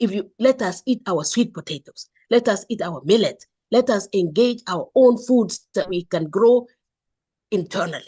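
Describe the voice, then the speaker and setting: At a moderate pace, a woman with a fairly high, somewhat breathy voice uses lively intonation, recorded with a dry, close sound and no echo. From Kenya. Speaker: entrepreneur. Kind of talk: online forum discussion. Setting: video call. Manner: animated; impassioned.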